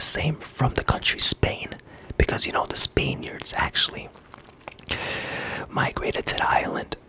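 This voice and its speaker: Someone whispers over noticeable background noise. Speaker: ASMR artist. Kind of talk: ASMR whispered talk to camera. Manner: whispered; casual, chatty.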